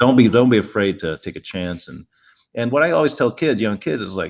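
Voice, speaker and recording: A man with a plain, everyday voice speaks at a medium pitch and a fairly quick pace, his intonation lively, against a quiet background. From Montreal, Canada. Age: 50s. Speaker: automotive car designer. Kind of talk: panel interview.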